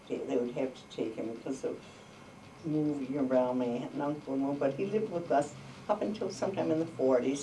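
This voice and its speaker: A woman with an American accent talks at a fairly quick pace in a very deep, low voice, with audible room echo and noticeable background noise. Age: 80s+. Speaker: oral history interviewee. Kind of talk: oral history interview. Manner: halting.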